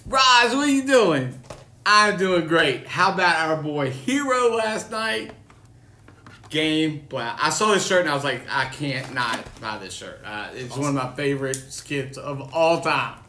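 Over light background noise and audible room echo, a man speaks at a fairly slow pace with big swings in loudness. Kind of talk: casual live-stream chat. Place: home room. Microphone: phone near.

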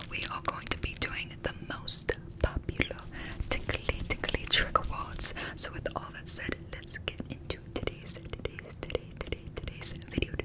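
A woman whispering at a fairly slow pace. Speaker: ASMR creator. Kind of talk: ASMR trigger words. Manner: whispered. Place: home room. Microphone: studio mic.

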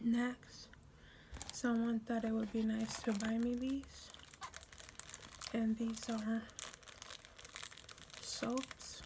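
Whispering, a soft-spoken woman talks very slowly in a gentle tone with long, frequent pauses, over noticeable background noise. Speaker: ASMR creator. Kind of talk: ASMR product show-and-tell. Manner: soft, gentle whispering. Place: home room. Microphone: phone near.

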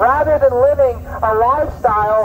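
Light background noise accompanies a man's voice. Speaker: street preacher. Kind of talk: sermon. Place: garden. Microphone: camera far.

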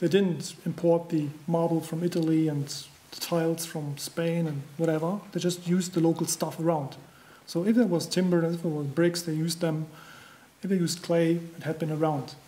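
A man speaks in a German accent at a high pitch. His delivery is at a moderate pace, with monotone, flat intonation. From Germany. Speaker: construction trainer. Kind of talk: conference presentation. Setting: stage with audience. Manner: halting. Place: hall. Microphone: podium.

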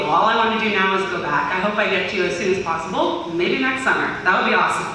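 With an American accent, a woman talks at a very fast pace amid light background noise and strong room echo. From US (Armenian diaspora). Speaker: youth volunteer, former intern. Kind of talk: presentation to a group. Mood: enthusiastic, grateful. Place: hall. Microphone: camera far.

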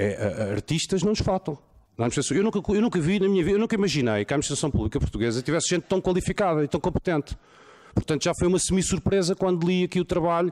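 A man talks at a very fast pace in a high pitch, with lively intonation and very even loudness. The background is quiet. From Portugal. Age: 40s. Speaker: lawyer. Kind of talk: conference talk. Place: hall. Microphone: podium.

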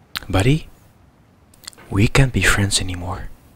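A man speaks quietly at a fairly slow pace in a fairly low pitch, with a dry sound that has no echo. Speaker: let's play gamer. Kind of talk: quiet gameplay commentary. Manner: quiet, hushed. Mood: calm, mildly frustrated. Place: home room.

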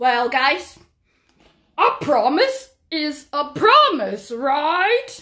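A woman uses a put-on character voice with a high pitch and very wide pitch swings. She speaks at a very slow pace with long, frequent pauses. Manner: fussy, bossy then firm.

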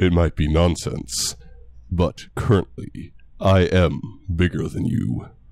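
In a put-on character voice, a man talks fairly slowly, his pitch very deep and low. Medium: machinima. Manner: gruff, commanding.

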